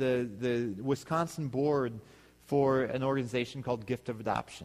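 Recorded very cleanly with a silent background, a man with an unremarkable speaking voice talks at a moderate pace in a medium pitch and fairly even intonation. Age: 30s. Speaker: pastor. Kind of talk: sermon.

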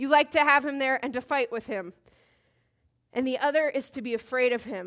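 A woman talks loudly at a high pitch and a fairly quick pace, with ordinary pitch variation and long, frequent pauses, on a very clean recording with a silent background. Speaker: Bible study teacher. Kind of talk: Bible teaching. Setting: room with live audience. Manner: casual, conversational.

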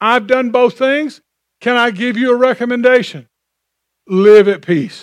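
In a very clean recording with a silent background, a man with an extremely high pitch talks at a fairly slow pace, leaving long, frequent pauses. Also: ordinary pitch variation. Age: 60s. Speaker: pastor. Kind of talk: sermon. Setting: church.

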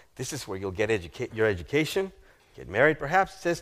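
A man speaks very fast with a slight South American accent, his animated tone full of vocal fry. His pitch swings very widely, and the recording is very clean with a silent background. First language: Spanish. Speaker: guest preacher. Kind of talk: sermon. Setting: church.

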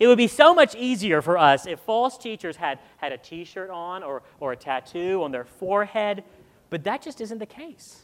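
Loudness swings widely at a moderate pace. The pitch also moves in very wide swings. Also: man, high pitch for a man. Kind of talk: sermon.

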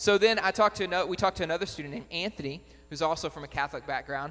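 A man rattles off his words at a very fast pace while music plays behind him. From Batesville. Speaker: missionary. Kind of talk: church presentation.

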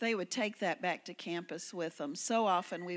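A woman speaks with a Southern US accent at a moderate pace and ordinary pitch variation, on a very clean recording with a silent background. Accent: US South. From Memphis, Tennessee. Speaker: missionary. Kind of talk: missionary testimony to congregation. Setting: church service.

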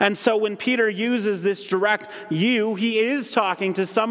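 A man with an American accent speaks at a high pitch with ordinary pitch variation. Noticeable background noise runs underneath. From Holland, Michigan. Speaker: ministry director and guest preacher. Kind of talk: sermon. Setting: church.

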